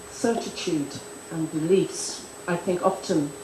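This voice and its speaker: A woman with a Northern Irish accent and medium pitch speaks fairly slowly with lively intonation, with audible room echo and noticeable background noise. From Ireland. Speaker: conference speaker. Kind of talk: conference panel remarks. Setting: conference in Delhi. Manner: halting, many fillers; formal.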